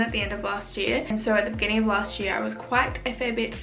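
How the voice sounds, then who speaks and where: Over noticeable background noise, a woman with an Australian accent talks at a fairly quick pace and a fairly high pitch. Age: 20s. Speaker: YouTuber. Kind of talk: casual talk to camera.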